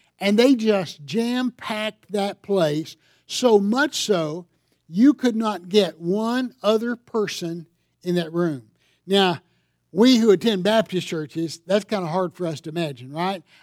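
With a Southern US accent, a man talks at a fairly slow pace and a high pitch with ordinary pitch variation, on a very clean recording with a silent background and a dry, close sound with no echo. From US South, upstate South Carolina. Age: 60s. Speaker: pastor. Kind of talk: sermon. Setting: church.

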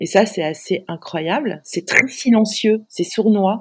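A woman with ordinary pitch variation is heard on a very clean recording with a silent background. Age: 50s. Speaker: digital strategy consultant. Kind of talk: interview. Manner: halting.

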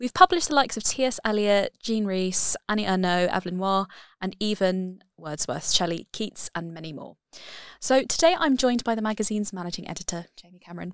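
A woman with a fairly high pitch, very wide pitch swings and big swings in loudness at a fairly quick pace, on a very clean recording with a silent background and a dry, close sound with no echo. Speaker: podcast host and magazine editorial assistant. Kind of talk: casual interview. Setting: studio.

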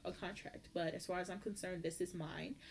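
Speaking at a very fast pace, a woman uses a medium pitch. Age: 20s. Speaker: podcast host. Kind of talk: casual monologue. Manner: animated.

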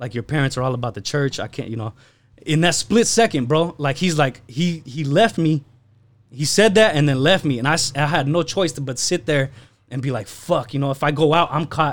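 The man's pitch is fairly high, with ordinary variation, and he talks at a fairly quick pace. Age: 20s. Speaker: podcast guest, clothing and toy brand owner. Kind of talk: casual chat. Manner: animated.

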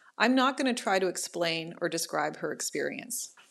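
In a very clean recording with a silent background, a woman with a Canadian accent and vocal fry speaks at a moderate pace with ordinary pitch variation. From Ottawa, Canada. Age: 30s. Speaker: professor and living organ donor. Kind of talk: personal storytelling.

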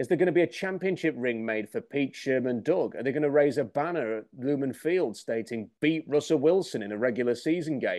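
A man's fairly high voice with an English accent, fairly quick and lively in intonation, over a quiet background. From England. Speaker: sports commentator. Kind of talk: opinion monologue.

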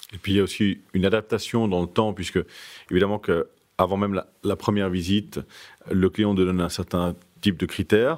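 This man's voice is very deep and low, moving at a fairly quick pace. The recording is very clean, with a silent background. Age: 30s. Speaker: luxury real estate broker. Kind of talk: interview.

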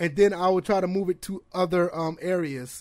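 A high-pitched man at a fairly slow pace, in a very clean recording with a silent background. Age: 30s. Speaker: gaming streamer and podcast host. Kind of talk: casual solo livestream chat. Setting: live stream on several platforms. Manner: casual, off the cuff with many fillers.

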